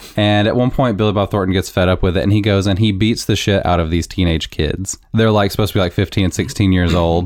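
Barely pausing, a man with a fairly low pitch speaks very fast at a very even loudness. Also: fairly even intonation. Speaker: movie podcast host. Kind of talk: casual banter, movie review podcast. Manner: loud mumbler, sarcastic.

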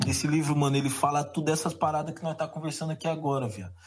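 Vocal fry runs through this man's fairly high-pitched voice. He speaks at a fairly quick pace. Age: 20s. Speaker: rapper. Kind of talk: casual chat.

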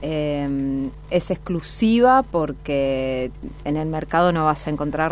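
Music can be heard in the background while a woman talks. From Santa Fe province, Argentina. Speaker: fashion designer and entrepreneur. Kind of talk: interview.

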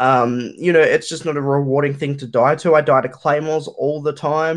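This man's pitch is fairly high. He speaks with an Australian accent. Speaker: YouTuber and streamer. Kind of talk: casual chat.

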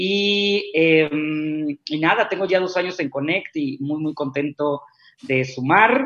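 The speaker is a man with a fairly high voice. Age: 30s. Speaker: executive recruiter. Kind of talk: interview.

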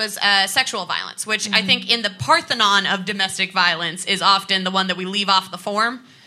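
The delivery is fairly quick and deadpan yet playful, with noticeable background noise. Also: woman. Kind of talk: live stand-up set with cheeky crowd banter. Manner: deadpan, sassy, playful flirting with the audience.

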